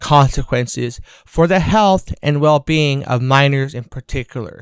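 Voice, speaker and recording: A man with a plain, everyday voice speaks at a fairly slow pace with ordinary pitch variation. The very clean recording has a silent background and a dry, close sound with no echo. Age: 30s. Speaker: podcast host and activist. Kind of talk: scripted narration; personal testimony.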